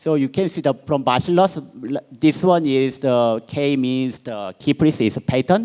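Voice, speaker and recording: A man with a Korean accent, fairly high pitch, ordinary pitch variation and a fairly slow pace, against a quiet background. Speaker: researcher. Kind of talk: conference presentation. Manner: halting.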